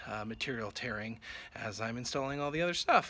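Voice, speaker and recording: Faint music plays in the background. A man speaks at a fairly quick pace with ordinary pitch variation. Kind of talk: casual vlog chat. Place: open country.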